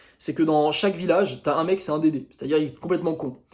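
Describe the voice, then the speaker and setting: Recorded very cleanly with a silent background, a man speaks in an animated tone at a high pitch. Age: 20s. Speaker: YouTuber, dating coach. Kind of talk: casual monologue to camera.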